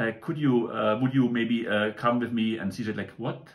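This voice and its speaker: A man speaks at a medium pitch with a German accent and fairly even intonation. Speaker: toy model reviewer. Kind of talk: product review. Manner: casual, many hesitations.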